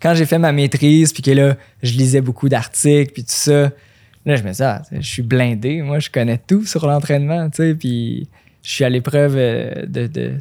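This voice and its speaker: Recorded very cleanly against a silent background with a dry, close sound and no echo, a man with a Quebec accent speaks at a fairly high pitch in a dark, mellow tone with fairly even intonation. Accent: Québécois French. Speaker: running coach and elite runner. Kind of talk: casual interview.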